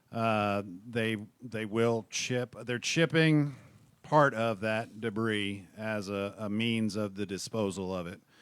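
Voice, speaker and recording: A man mumbles at a very slow pace in a fairly low voice. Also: ordinary pitch variation. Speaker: city government employee. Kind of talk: audience comment at public meeting. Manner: mumbling.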